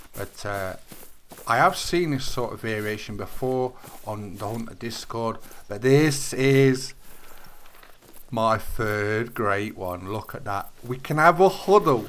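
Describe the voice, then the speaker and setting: A man with a British accent and medium pitch speaks at a very slow pace, with lively intonation, big swings in loudness, and long, frequent pauses. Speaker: gaming YouTuber. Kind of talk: gameplay commentary. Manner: halting.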